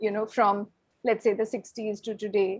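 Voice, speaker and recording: A woman speaks, her pitch fairly high. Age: 60s. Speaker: professor. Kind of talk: invited talk with Q&A. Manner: hesitant, many fillers.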